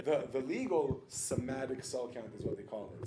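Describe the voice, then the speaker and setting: Audible room echo carries a man's voice. He has an American accent and talks at a fairly quick pace. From New York and South Florida. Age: 30s. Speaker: vegan restaurant owner. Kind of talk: casual interview chat. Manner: animated.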